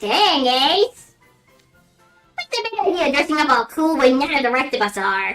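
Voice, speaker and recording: A female-sounding put-on character voice, high in pitch, moves at a moderate pace with faint music in the background. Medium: game stream.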